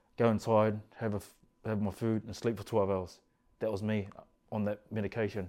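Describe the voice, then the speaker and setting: In a very clean recording with a silent background, a man with a dark, mellow, fairly low-pitched voice speaks in a monotone, flat intonation with long, frequent pauses. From New Zealand, East Auckland. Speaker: carpenter sharing mental health and prison story. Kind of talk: personal testimony interview. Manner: soft-spoken.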